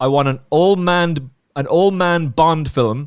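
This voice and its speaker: A man with an Irish accent, very slow in pace, with ordinary pitch variation. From Ireland. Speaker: podcast host. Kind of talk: casual chat. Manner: animated.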